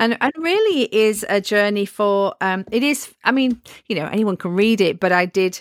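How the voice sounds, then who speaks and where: A woman with a northern English accent, medium pitch and ordinary pitch variation, at a moderate pace, in a dry, close sound with no echo. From northern England. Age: 40s. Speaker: author and home educator. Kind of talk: interview.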